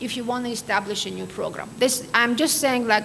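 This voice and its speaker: With an Armenian accent and a high pitch, a woman speaks over noticeable background noise in a room with audible echo. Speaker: quality assurance expert. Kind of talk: lecture.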